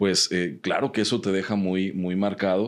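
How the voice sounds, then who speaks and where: At a fairly slow pace, a man speaks with a Mexican accent and a fairly low pitch. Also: very clean recording, silent background. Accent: Mexican Spanish (Jalisco). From Guadalajara, Mexico. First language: Mexican Sign Language (speaking Spanish). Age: 30s. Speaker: human rights researcher and activist. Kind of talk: podcast interview.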